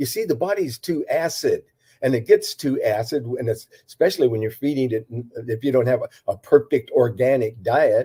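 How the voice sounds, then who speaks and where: A man's dark, mellow, somewhat breathy voice at medium pitch, with ordinary pitch variation, a moderate pace and a dry, close sound with no echo. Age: 80s+. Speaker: herbalist and natural health practitioner. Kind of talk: interview. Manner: halting, many fillers and repetitions.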